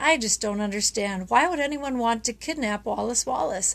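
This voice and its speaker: A shaky, soft-spoken put-on character voice with a timid tone, lively intonation and a moderate pace. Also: woman, fairly high pitch for a woman. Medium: read story. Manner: shy, timid.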